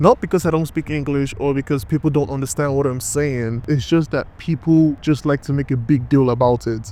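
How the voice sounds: In a Nigerian accent, a man talks at medium pitch and a fairly quick pace, his tone dark and mellow and his intonation fairly even.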